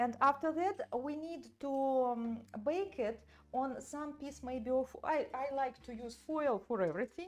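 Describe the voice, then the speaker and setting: Speaking with a non-native accent, a woman talks at a fairly slow pace in a high pitch. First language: not English. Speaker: doll artist and sculpting teacher. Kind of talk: live tutorial. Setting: livestream from studio. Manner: halting, many fillers.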